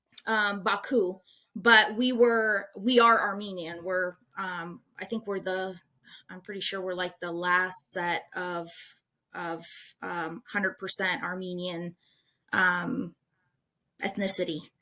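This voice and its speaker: At a very slow pace with long, frequent pauses, a woman of medium pitch speaks in a bright, sharp tone with fairly even intonation and big swings in loudness. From US Midwest, Lincoln, Nebraska. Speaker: city council candidate. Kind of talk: interview.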